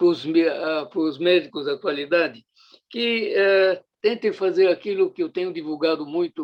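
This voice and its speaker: With ordinary pitch variation, a man speaks at a moderate pace in a high pitch. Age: 80s+. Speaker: retired surgeon and professor. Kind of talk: interview. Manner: halting, with fillers.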